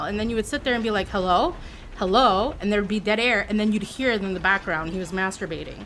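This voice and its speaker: An animated tone from a woman at medium pitch, over noticeable background noise. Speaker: video game streamer. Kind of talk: casual chat.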